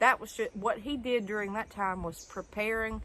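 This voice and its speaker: Here is a woman with a Southern US accent. Her pace is moderate. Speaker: homesteader. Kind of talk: casual talk to camera. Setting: outdoors.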